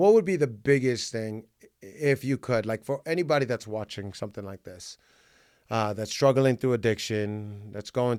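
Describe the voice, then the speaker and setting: The man's voice has a medium pitch and ordinary pitch variation. He talks at a moderate pace. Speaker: podcast host and car salesman. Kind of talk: casual chat. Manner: loud; energetic.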